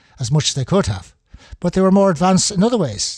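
This man's voice is somewhat breathy, with a dark, mellow tone. His pitch swings very widely. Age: 70s. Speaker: amateur history enthusiast. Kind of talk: solo talk. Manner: halting.

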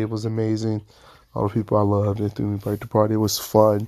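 In a very clean recording with a silent background, a man speaks with a dark, mellow tone at a fairly low pitch. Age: 20s. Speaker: podcast host. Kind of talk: casual solo monologue. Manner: animated.

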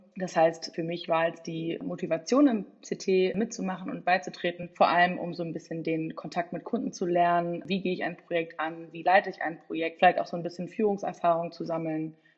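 The speech moves at a fairly quick pace with hardly any pauses, fairly even intonation and big swings in loudness, over noticeable background noise. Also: woman, fairly low pitch for a woman. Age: 20s. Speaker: political science student. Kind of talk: casual interview.

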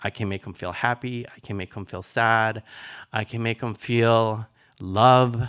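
A fairly slow, monotone, flat delivery with big swings in loudness, in a very clean recording with a silent background and a dry, close sound with no echo. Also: man, medium pitch for a man. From Nicaragua. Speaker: retired ballet dancer and dance teacher. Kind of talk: live storytelling.

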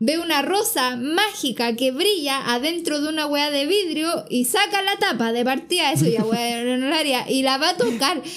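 Over noticeable background noise, a woman with a Chilean accent talks at a moderate pace and high pitch, with lively intonation, very even loudness and hardly any pauses. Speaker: podcast co-host. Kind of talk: casual chat.

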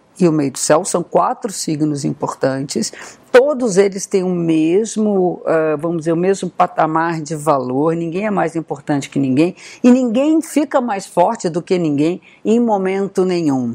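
The speech moves at a fairly slow pace with lively intonation, over noticeable background noise. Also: woman, fairly low pitch for a woman. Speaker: astrologer. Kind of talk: talking-head video.

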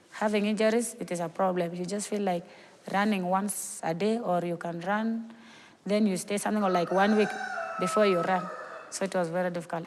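Flat, monotone speech from a woman at a medium pitch, with noticeable background noise. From South Sudan. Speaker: refugee athlete. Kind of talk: interview.

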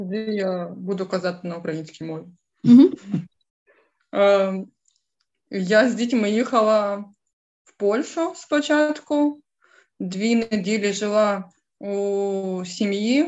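A woman with a Ukrainian accent speaks at medium pitch and a very slow pace, with lively intonation, big swings in loudness, and long, frequent pauses. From Ukraine, Dnipro. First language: Ukrainian (speaking German). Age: 30s. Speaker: war refugee. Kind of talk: interview testimony.

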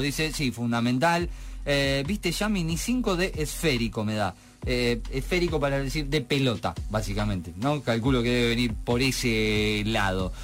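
A man speaks at a moderate pace. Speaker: radio host. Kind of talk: casual radio chat.

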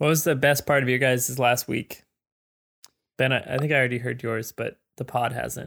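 Speaking at a moderate pace in a medium pitch with vocal fry, a man keeps fairly even intonation in a dry, close sound with no echo. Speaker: podcast host. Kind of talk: casual chat.

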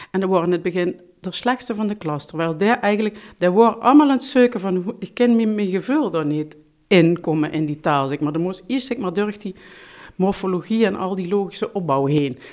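A woman's normal speaking voice, medium in pitch, with lively intonation at a fairly quick pace in a very clean recording with a silent background. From Limburg, Netherlands (Heerlen). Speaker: language teacher. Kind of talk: interview.

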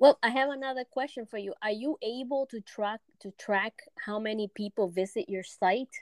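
A woman with an unremarkable speaking voice talks at a moderate pace with ordinary pitch variation and big swings in loudness, in a dry, close sound with no echo. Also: fairly high pitch for a woman. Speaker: podcast host. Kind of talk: interview.

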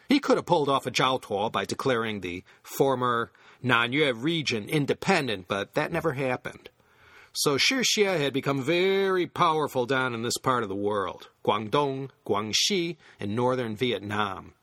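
The sound is dry and close, with no echo. A man speaks at medium pitch in a bright, sharp tone with lively intonation. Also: moderate pace. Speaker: history podcast host. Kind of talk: scripted narration. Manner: wooden Vietnamese pronunciation.

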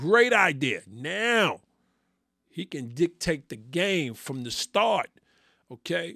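A man with a New York accent speaks at a very slow pace in a fairly high pitch, his voice swinging very widely in pitch, on a very clean, dry, close recording with no echo and a silent background. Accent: New York City. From New York City. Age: 50s. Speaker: sports podcast host. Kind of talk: solo sports commentary.

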